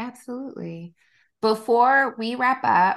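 A woman speaks in a Southern US accent against a quiet background. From US South, South Georgia. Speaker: podcast host, licensed counselor. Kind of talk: casual interview chat.

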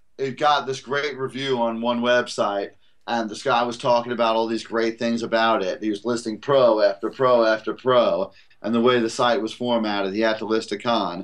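With a New York accent, a man talks at a moderate pace and a medium pitch. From Brooklyn, New York. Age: 40s. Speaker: calisthenics trainer and author. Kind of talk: podcast interview. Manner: animated.

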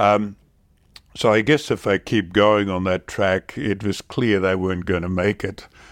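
On a very clean recording with a silent background and a dry, close sound with no echo, a man with an Australian accent speaks at a fairly slow pace, with a fairly low pitch and fairly even intonation. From Western Australia (Perth area), born in the Netherlands. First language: Dutch. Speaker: shipbuilding company founder and chairman. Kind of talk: interview. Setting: in person near Perth. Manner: halting, many fillers.

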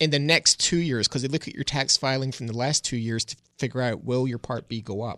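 Over a quiet background, a man talks in an ordinary speaking voice at a fairly quick pace with fairly even intonation. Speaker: financial advisor. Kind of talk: radio call-in advice show. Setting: radio studio.

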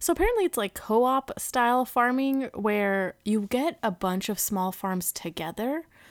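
A woman with an unremarkable speaking voice speaks at a fairly slow pace with lively intonation. The recording is very clean, and the background is silent. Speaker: podcast host. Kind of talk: casual chat.

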